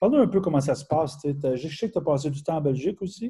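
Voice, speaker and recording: In a Quebec accent, a man speaks fairly quickly at a fairly high pitch. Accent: Québécois French. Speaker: webinar host, personal development. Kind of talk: webinar interview. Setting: online webinar.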